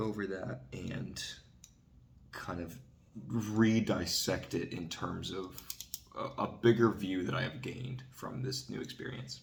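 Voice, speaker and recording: A man talks quietly at a fairly slow pace, his fairly low voice showing vocal fry. His intonation is lively, and the room echo is audible. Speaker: vlogger. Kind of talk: casual monologue vlog. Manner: quiet, keeping voice down.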